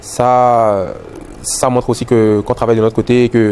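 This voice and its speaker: A man with a Beninese accent talks at a medium pitch in a monotone, flat intonation. Noticeable background noise runs under his voice. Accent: Beninese accent, kept. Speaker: musician. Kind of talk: interview. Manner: hesitant, many fillers and repetitions.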